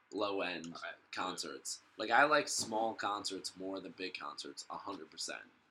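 There is noticeable background noise as a man speaks at a fairly slow pace. His loudness swings a lot. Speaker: podcast host. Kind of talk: casual chat. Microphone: laptop mic, poor sound quality.

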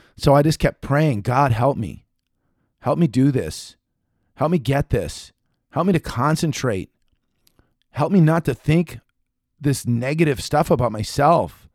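A man speaks in an animated tone with a fairly high pitch and ordinary pitch variation. His pace is fairly slow, broken by long, frequent pauses. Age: 40s. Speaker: motivational podcast host. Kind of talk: motivational talk.

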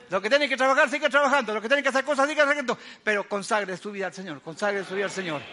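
A raised, projected voice with a bright, sharp tone races at a very fast pace, with lively intonation and big swings in loudness. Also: man, high pitch for a man. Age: 80s+. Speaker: guest preacher. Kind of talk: sermon. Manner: animated.

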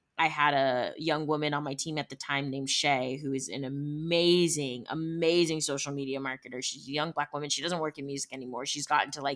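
A woman with a Midwestern US accent speaks at a fairly quick pace in a very deep, low pitch, her tone bright, sharp and animated. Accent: US Midwest. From Ohio, Cleveland area. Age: 20s. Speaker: music industry entrepreneur. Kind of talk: casual interview.

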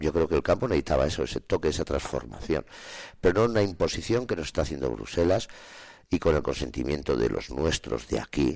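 A man's very deep, low voice with vocal fry, lively intonation and a fairly quick pace, on a very clean recording with a silent background. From Spain, Soria province. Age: 50s. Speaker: farmer. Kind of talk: radio interview. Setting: studio.

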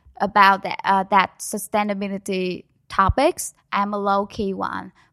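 With a Vietnamese accent, the speaker talks at a fairly slow pace in a bright, sharp tone on a very clean recording with a silent background. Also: woman. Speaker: student organization project lead. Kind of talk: interview.

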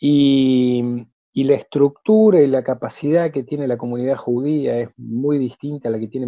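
This is a normal speaking voice moving at a moderate pace with ordinary pitch variation. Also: man. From Argentina, Córdoba. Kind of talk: interview.

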